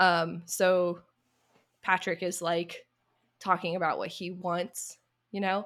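With an American accent, a woman speaks very slowly in a flat monotone, leaving long, frequent pauses. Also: medium pitch for a woman. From US South. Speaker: YouTuber. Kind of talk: casual chat.

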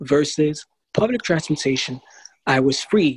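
In a dry, close recording with no echo, a man with an American accent talks at a moderate pace with a fairly high pitch, an ordinary speaking voice. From New York City. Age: 20s. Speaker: blindness advocate. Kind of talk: interview.

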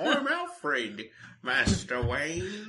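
A man puts on a character voice with a high pitch. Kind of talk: formal, refined.

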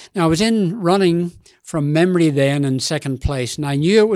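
With an Australian accent, the voice proceeds at a moderate pace. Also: man. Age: 80s+. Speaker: ultramarathon runner. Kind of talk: interview.

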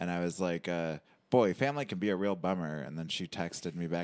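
Someone with an American accent speaks on a very clean recording with a silent background. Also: man. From Michigan, Detroit suburbs. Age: 30s. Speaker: comedian. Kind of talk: casual chat.

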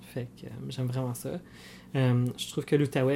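The voice is somewhat breathy and dark and mellow in tone, with a monotone, flat intonation. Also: man. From Franco-Ontarian, Cornwall, Ontario. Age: 30s. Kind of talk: casual interview chat.

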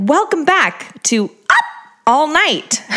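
The voice is a put-on character voice, squeaky and high in pitch. Its pitch swings very widely.

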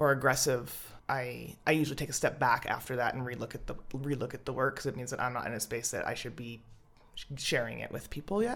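On a very clean recording with a silent background, a woman with a Canadian accent talks fairly quickly. Her pitch is very deep and low, with vocal fry. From Alberta, Canada (Edmonton and Calgary). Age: 30s. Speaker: spoken word poet. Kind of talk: casual interview chat.

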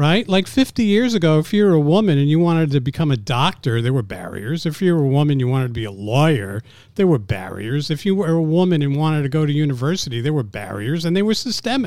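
A man's fairly high voice with an American accent, very fast, with very wide pitch swings and hardly any pauses. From New York City. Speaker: business commentator. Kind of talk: casual interview.

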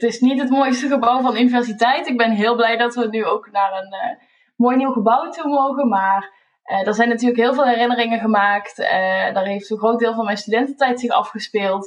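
Her fairly high pitch and ordinary pitch variation mark a woman with a normal speaking voice. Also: moderate pace. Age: 20s. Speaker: PhD candidate and university lecturer. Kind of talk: personal reminiscence.

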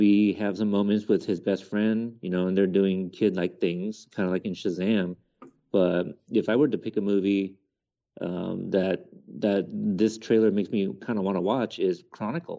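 A man talks in a normal speaking voice at a fairly low pitch. His intonation stays fairly even and his pace is moderate. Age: 30s. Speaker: podcaster, film commentator. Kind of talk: casual chat.

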